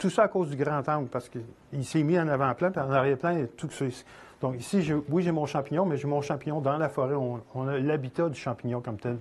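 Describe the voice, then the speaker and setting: Speaking at a fairly quick pace, a man with a fairly high pitch sounds somewhat breathy and shows ordinary pitch variation. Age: 60s. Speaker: photographer and instructor. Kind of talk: lecture. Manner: halting.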